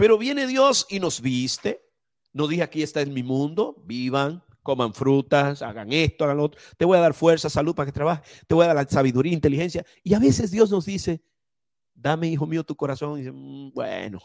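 This is a man with a normal speaking voice, fairly high in pitch and at a moderate pace. The sound is dry and close with no echo, on a very clean recording with a silent background. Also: lively intonation. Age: 50s. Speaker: preacher. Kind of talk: sermon.

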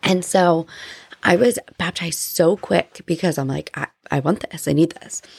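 A woman's plain, everyday voice with an American accent, fairly low in pitch, with ordinary pitch variation, a moderate pace and a dry, close sound with no echo. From New Jersey. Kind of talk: casual personal testimony. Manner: conversational, filler-heavy.

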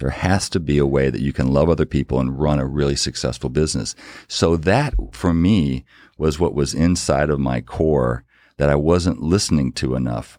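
A man with a very deep, low pitch speaks at a moderate pace. His tone is dark and mellow, with ordinary pitch variation. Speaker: business executive and author. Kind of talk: interview conversation.

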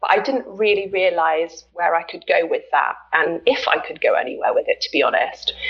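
A woman with a British accent at a moderate pace, over noticeable background noise. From Britain. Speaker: health coach. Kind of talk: interview. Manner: hesitant fillers.

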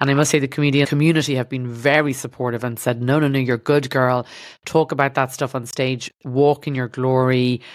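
A woman with an Irish accent speaks in a very deep, low pitch at a fairly quick pace, her intonation monotone and flat. The recording is very clean, with a silent background. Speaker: podcast host, doctor turned stand-up comedian. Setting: studio.

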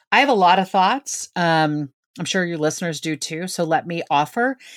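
A woman with an American accent talks in a normal speaking voice at a moderate pace, her fairly low pitch moving with ordinary variation. The sound is dry and close with no echo, on a very clean recording with a silent background. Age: 50s. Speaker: author. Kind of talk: casual chat.

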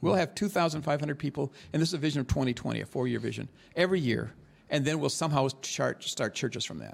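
A man with vocal fry speaks very fast at a fairly high pitch, his pitch varying in an ordinary way. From northeast Thailand, rural, until 17. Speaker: veteran missionary and church planting leader. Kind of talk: interview, personal stories. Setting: on the road in northern Thailand, not in studio.

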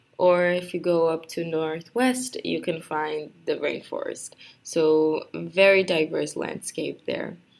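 A woman with a Brazilian accent, at a very slow pace. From Brazil, Rio de Janeiro. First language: Portuguese. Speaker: university student. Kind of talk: personal introduction monologue. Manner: halting, many fillers.

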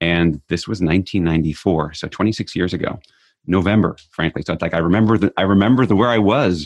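Over a quiet background, a man speaks very fast with a very deep, low pitch and ordinary pitch variation. The sound is dry and close, with no echo. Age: 50s. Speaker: leadership author and trainer. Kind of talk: interview.

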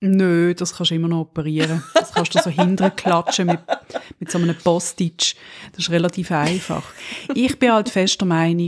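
A woman with a fairly low pitch speaks in a Swiss accent. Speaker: podcast co-host. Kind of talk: casual chat.

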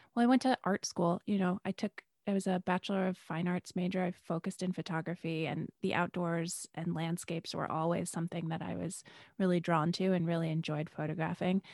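A woman with an American accent and an unremarkable speaking voice, fairly quick in pace, in a dry, close sound with no echo. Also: fairly low pitch for a woman, fairly even intonation. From Western New York. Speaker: hiking guide. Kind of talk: casual interview. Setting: video call.

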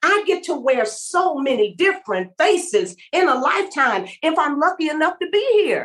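Speaking with an American accent, a woman uses an extremely high pitch and very wide swings in an animated, warm tone, with hardly any pauses. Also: moderate pace. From Los Angeles, US. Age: 70s. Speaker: vegan chef and restaurateur. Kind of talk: casual interview chat. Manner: animated, warm, humorous.

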